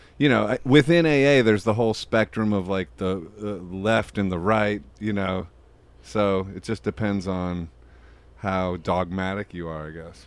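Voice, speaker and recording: On a very clean recording with a silent background, a man with an ordinary speaking voice talks at a moderate pace, his fairly low pitch showing ordinary variation. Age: 40s. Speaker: podcast host. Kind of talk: casual chat. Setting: studio.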